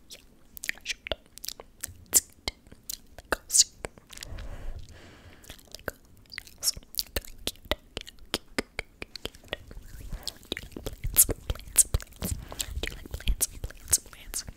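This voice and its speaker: Whispered words come at a very slow pace with long, frequent pauses. Noticeable background noise is present throughout. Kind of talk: ASMR whispering.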